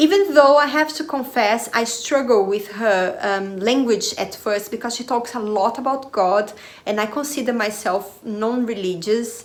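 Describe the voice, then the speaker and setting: Speech with a non-native accent, hardly any pauses and ordinary pitch variation, over noticeable background noise. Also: woman, fairly high pitch for a woman, moderate pace. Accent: Portuguese-speaker accent in English. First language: Portuguese. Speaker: spiritual/personal development video creator. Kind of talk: casual monologue to camera. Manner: hesitant, many fillers.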